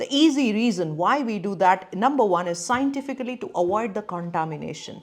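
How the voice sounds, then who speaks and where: A woman of medium pitch talks at a fairly quick pace with lively intonation. She speaks with a Gujarati accent. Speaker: neurologist and brain coach. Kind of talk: educational talk to camera.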